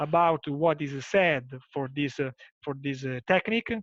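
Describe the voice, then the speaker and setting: A man's fairly high voice with an Italian accent, dry and close with no echo. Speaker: nephrologist. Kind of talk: closing remarks in a webinar. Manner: halting.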